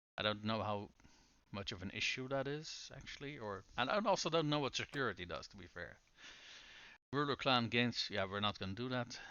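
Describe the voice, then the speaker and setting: Speaking at a fairly quick pace, a man with a medium pitch uses lively intonation and big swings in loudness. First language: not English. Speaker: video game streamer. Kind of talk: live gameplay stream commentary. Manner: casual, hesitant with fillers.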